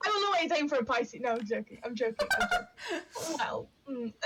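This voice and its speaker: A loud woman with a Yorkshire accent at a moderate pace, very wide pitch swings, music in the background. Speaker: witchcraft and astrology streamer. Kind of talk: casual chat. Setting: live stream.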